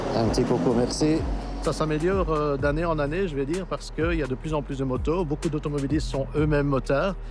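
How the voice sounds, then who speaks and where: Over music in the background, a man speaks fairly quickly at a fairly high pitch with ordinary pitch variation, and audible room echo. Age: 60s. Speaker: radio traffic reporter. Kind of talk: interview.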